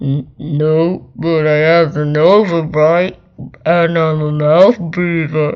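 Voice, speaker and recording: Using a put-on character voice, the speaker talks very slowly at a middle pitch. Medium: read story. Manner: formal, polite.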